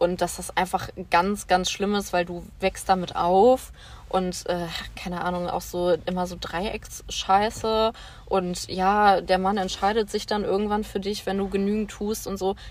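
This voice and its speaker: A woman speaks at a fairly slow pace with monotone, flat intonation. Her pitch sits in the medium range. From western Germany, Bonn. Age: 20s. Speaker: social worker. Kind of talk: casual chat.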